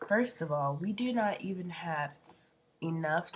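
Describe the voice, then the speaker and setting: A woman's voice comes through somewhat breathy. She speaks at a fairly slow pace. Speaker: fitness trainer. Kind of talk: vlog. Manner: casual, hesitant with fillers.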